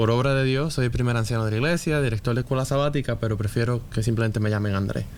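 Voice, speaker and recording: Talking very fast with hardly any pauses, a man with a Puerto Rican accent keeps his loudness very even. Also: medium pitch for a man, fairly even intonation. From Puerto Rico. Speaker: church elder and occupational therapist. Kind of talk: casual chat.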